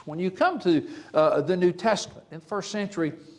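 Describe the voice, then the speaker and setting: A man with an Alabama accent and a high pitch. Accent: Southern US (Alabama). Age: 70s. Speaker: preacher. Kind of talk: sermon. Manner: halting, frequent fillers.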